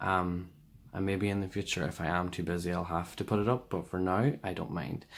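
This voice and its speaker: A man with an Irish accent and a very deep, low pitch at a fairly quick pace, in a very clean recording with a silent background. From Ireland. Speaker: tarot reader. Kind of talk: tarot reading video. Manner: casual, many fillers.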